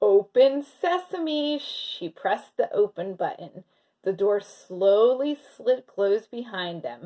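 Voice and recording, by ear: Someone reads the text aloud in a natural voice while the background stays quiet.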